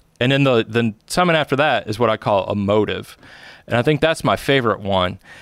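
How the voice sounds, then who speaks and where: On a very clean recording with a silent background, a man speaks with a plain, everyday voice in an American accent. His intonation is lively and his pace fairly quick. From upstate New York. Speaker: photography lecturer. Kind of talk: casual chat.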